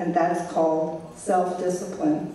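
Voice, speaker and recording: Noticeable background noise and audible room echo around a woman's fairly low voice, delivered at a fairly slow pace. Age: 60s. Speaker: painter. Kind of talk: lecture.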